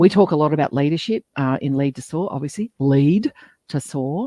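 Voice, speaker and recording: A woman with an Australian accent. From Western Australia (Geraldton). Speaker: podcast co-host. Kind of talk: live interview. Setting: LinkedIn live stream.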